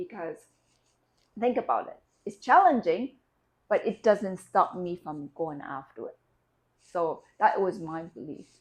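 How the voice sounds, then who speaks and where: Using a non-native accent, a woman speaks at a medium pitch and a fairly slow pace, with big swings in loudness and long, frequent pauses. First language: not English. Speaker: life coach. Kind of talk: motivational talk. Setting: video recording. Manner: halting.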